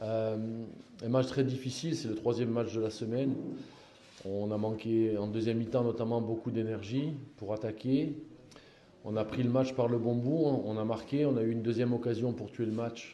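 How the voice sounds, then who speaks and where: Over noticeable background noise and audible room echo, a man speaks at a moderate pace and medium pitch with fairly even intonation and long, frequent pauses. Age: 60s. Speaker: football coach. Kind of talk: press conference. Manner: halting, many repetitions.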